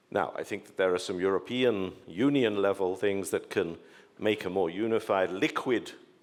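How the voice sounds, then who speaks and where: A man with an English accent in a very clean recording with a silent background. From England. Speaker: panelist. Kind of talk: panel discussion.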